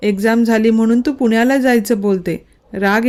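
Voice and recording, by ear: Someone is reading aloud in a natural voice with fairly even intonation.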